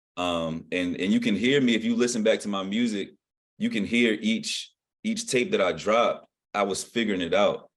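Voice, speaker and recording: A man's ordinary speaking voice in an American accent, medium in pitch, with ordinary pitch variation and a moderate pace. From southeastern Virginia, Norfolk area. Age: 20s. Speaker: rapper. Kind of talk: interview. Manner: casual.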